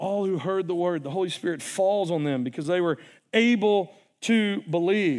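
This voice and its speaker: Against a quiet background, a man with a slight Southern US accent speaks at a high pitch. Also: ordinary pitch variation, moderate pace. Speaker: preacher. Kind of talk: sermon. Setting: church. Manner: casual, conversational.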